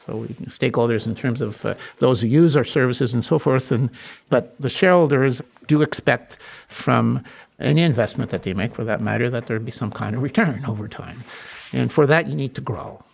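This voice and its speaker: With vocal fry, a man speaks at a fairly quick pace, his medium pitch showing ordinary variation. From Quebec, Montreal. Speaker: board chair and finance executive. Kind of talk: interview.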